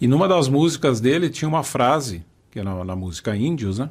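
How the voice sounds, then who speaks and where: A man's voice of medium pitch swings very widely up and down as he talks at a fairly quick clip. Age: 60s. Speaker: podcast host. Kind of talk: podcast conversation.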